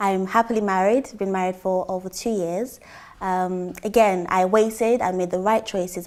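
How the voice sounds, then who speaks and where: A woman's medium-pitched voice, dark and mellow, at a fairly quick pace with fairly even intonation. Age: 20s. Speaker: church member giving testimony. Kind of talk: testimony.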